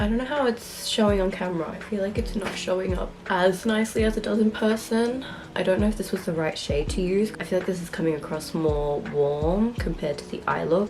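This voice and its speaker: Over noticeable background noise, a woman speaks at a medium pitch. She moves at a fairly quick pace with hardly any pauses. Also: ordinary pitch variation. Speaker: beauty YouTuber. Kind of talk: casual makeup tutorial talk to camera. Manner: chatty.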